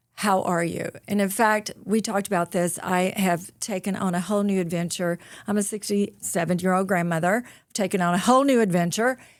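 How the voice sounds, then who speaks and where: On a very clean recording with a silent background, a woman with a Southern accent talks at a moderate pace in a medium pitch. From US South, rural North Mississippi. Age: 60s. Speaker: author and motivational speaker. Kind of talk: podcast interview. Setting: studio. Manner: animated.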